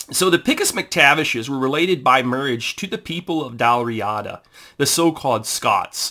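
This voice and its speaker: With a Southern US accent, a man speaks in a bright, sharp tone at a fairly high pitch with lively intonation, on a very clean recording with a silent background. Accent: southern drawl. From Texas. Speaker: amateur family historian, YouTuber. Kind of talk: informal history talk reading from a book. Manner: halting, many fillers.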